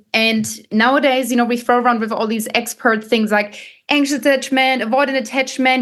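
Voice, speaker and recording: A high-pitched woman's voice in a German accent, at a fairly quick pace. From Germany. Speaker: dating coach and content creator. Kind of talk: podcast interview. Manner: animated.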